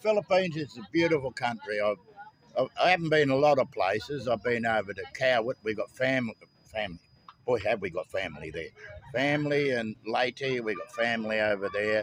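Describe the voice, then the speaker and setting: A man talks at a medium pitch with an Australian accent. His intonation is lively. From Australia (Victoria). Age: 70s. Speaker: Vietnam War veteran, expat. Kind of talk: street interview. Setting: outdoors. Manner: halting.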